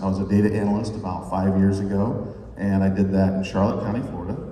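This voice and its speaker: A man speaks at a fairly quick pace. The recording has noticeable background noise and audible room echo. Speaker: data consultant, former radio host. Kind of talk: conference workshop presentation. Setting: conference room with microphones.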